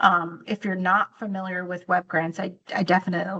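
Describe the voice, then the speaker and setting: A bright, sharp tone at a moderate pace, dry and close with no echo. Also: woman. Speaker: state agency grant program administrator. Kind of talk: tutorial. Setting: video call. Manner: halting, with many um fillers.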